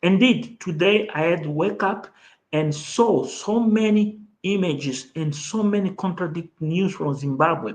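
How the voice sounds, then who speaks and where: Here a man speaks at a fairly slow pace. His high voice has lively intonation. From Mozambique. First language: Portuguese. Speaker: online talk show host. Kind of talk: live stream political commentary.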